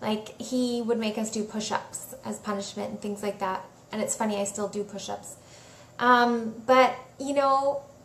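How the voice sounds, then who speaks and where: Audible room echo surrounds a woman who speaks very slowly in a flat, monotone way at a fairly high pitch. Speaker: spiritual coach / healer. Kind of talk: live Q&A talk. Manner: casual, chatty.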